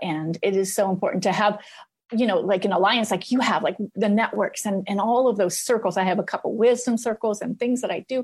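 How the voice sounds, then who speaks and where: A woman with an unremarkable speaking voice talks at a moderate pace. Her pitch is fairly high, with ordinary pitch variation. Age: 50s. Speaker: life coach. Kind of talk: casual chat.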